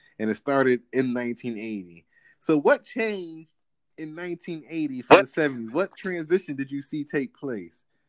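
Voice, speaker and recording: A man with a normal speaking voice talks at a fairly high pitch and a fairly slow pace, with lively intonation and big swings in loudness. The sound is dry and close with no echo, on a very clean recording with a silent background. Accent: American. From New Jersey. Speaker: podcast host. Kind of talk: casual chat.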